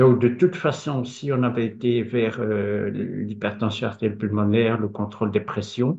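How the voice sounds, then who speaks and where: Speaking very slowly, a man lets out a somewhat breathy voice whose pitch rises and falls in an ordinary way. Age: 50s. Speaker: patient. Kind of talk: testimony.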